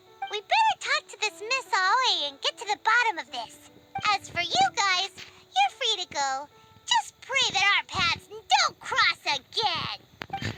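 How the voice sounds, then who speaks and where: Music plays in the background behind a put-on character voice that is squeaky and extremely high in pitch. The pace is fairly slow. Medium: video game.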